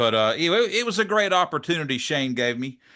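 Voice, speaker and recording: A man in a Southern US accent, bright and sharp in tone, with very wide pitch swings, a fairly quick pace and a quiet background. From US South, South Georgia; Georgia. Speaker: drum channel interviewer. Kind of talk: interview. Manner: casual, hesitant with fillers. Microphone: studio mic.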